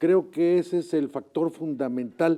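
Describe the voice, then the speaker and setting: With a dark, mellow tone and high pitch, a man talks at a fairly slow pace using fairly even intonation. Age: 70s. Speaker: retired teacher and education official. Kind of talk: interview. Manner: halting.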